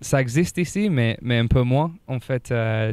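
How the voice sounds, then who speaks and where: Recorded very cleanly with a silent background, the dry, close sound with no echo carries a voice in a slight English accent at a very slow pace. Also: man. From England. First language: English (speaking French). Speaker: rugby player. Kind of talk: interview. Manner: halting, many hesitations.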